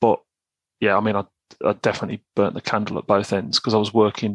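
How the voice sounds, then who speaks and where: Against a quiet background, a man with a West Midlands accent speaks at a medium pitch, with a dry, close sound and no echo. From West Midlands of England. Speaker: online men's self-help writer. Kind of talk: casual chat.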